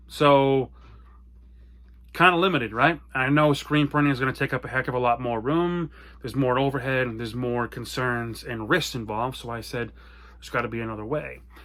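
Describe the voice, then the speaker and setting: In a very clean recording with a silent background, a loud man with an American accent talks at a fairly quick pace, his medium pitch showing ordinary variation and his tone animated, bright and sharp. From US small town. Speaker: apparel brand owner. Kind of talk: personal story monologue. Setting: home basement office.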